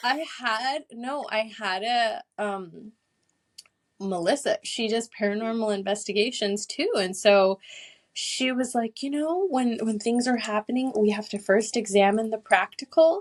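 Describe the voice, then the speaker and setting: Her fairly high voice moves at a fairly slow pace with ordinary pitch variation, the sound dry and close with no echo. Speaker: Akashic records reader and energy healer. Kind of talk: casual interview chat.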